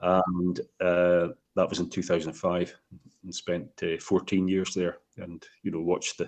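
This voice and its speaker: With a Scottish accent, a man speaks at a fairly slow pace. His pitch is very deep and low, and his intonation is monotone and flat. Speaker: whiskey distiller. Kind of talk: interview. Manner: halting.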